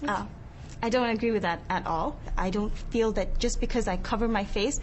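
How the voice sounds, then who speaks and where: Audible room echo surrounds a woman who speaks at a fairly quick pace with fairly even intonation. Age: 20s. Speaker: niqab-wearing interviewee. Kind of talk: debate discussion.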